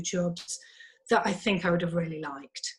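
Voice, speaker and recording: This is a woman whose voice is somewhat breathy. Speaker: psychologist, former lawyer. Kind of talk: interview conversation.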